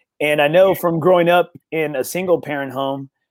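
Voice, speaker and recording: Here is a man with a normal speaking voice. His pitch is fairly high and his intonation fairly even. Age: 40s. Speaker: golf podcast host. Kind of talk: casual interview chat. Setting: on a golf course.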